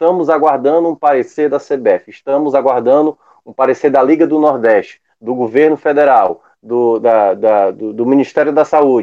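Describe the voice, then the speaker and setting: A man with an ordinary speaking voice talks at a moderate pace, his fairly high pitch showing ordinary pitch variation. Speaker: sports podcast panelist. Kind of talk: casual sports analysis.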